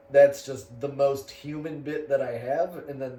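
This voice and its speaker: A man speaks at a fairly high pitch. Noticeable background noise and audible room echo surround him. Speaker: comedian. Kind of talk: casual chat.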